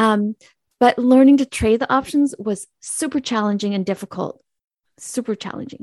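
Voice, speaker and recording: Recorded dry and close with no echo against a quiet background, a woman with an American accent speaks at a moderate pace with ordinary pitch variation. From Southern California. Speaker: podcast host and trader. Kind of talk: interview answers. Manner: hesitant, many fillers.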